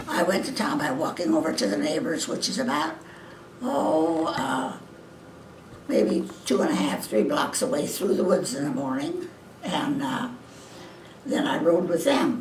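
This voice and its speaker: The speaker moves at a fairly slow pace with long, frequent pauses and very wide pitch swings. There is noticeable background noise. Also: woman, medium pitch for a woman. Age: 80s+. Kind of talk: interview answer.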